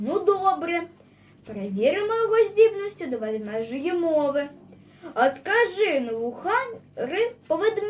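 This is reading aloud in a natural voice. The delivery stays that way throughout.

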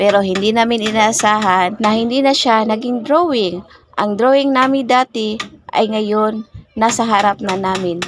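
A woman's fairly high voice with a Visayan accent, fairly slow, amid noticeable background noise. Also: ordinary pitch variation. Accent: Visayan accent when speaking Tagalog. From Visayas, Philippines. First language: Cebuano (Bisaya) (speaking Tagalog). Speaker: vlogger. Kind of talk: voice-over narration of a vlog.

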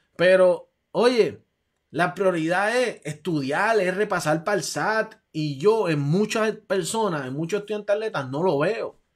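Against a quiet background, a man is speaking. His pitch is high. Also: ordinary pitch variation, fairly slow pace. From Puerto Rico. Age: 40s. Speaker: athletic recruiting advisor and show host; show host. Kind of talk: live stream talk show. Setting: home room, live stream. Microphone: webcam.

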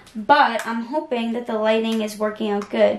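A woman's fairly high voice, slightly mellow in tone, at a fairly slow pace amid audible room echo

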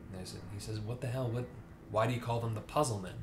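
A man's voice over noticeable background noise. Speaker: book reviewer. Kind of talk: casual vlog chat. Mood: relaxed, conversational. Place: home room.

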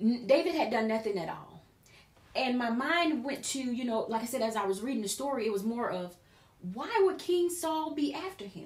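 Audible room echo surrounds a woman with a high pitch. Her voice swings very widely in pitch. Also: moderate pace. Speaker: preacher / Bible teacher. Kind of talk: sermon-style Bible teaching in conversation. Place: studio.

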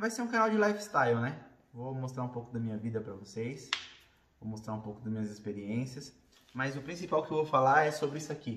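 Audible room echo surrounds a man at a medium pitch. He speaks at a moderate pace with ordinary pitch variation. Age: 30s. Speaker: vlogger; bodybuilder. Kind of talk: casual talk to camera. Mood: earnest, reflective. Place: home room. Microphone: phone near.

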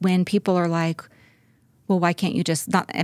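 A dry sound with no echo, a quiet background and an American accent. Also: woman. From US West (California). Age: 40s. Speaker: interview guest. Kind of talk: personal interview. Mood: candid, reflective. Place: studio. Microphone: studio mic.

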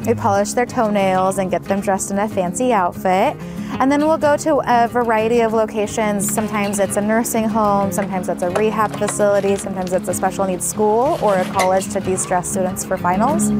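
A woman talks at a fairly quick pace with hardly any pauses and ordinary pitch variation. Clear music plays in the background, and the sound is dry with no echo. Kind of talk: interview answer. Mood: warm, friendly. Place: garden.

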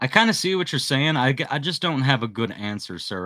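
Against a quiet background, a man talks at a very fast pace in a bright, sharp tone with lively intonation. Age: 40s. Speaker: handyman business youtuber. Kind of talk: live stream chat. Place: home room. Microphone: studio mic.

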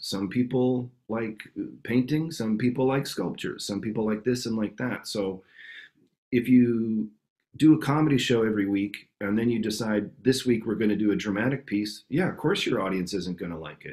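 A man with a Canadian accent talks at a moderate pace and medium pitch. His pitch variation is ordinary, and the background is quiet. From Canada, Winnipeg. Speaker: improv actor and teacher. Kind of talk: interview answer. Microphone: video call.

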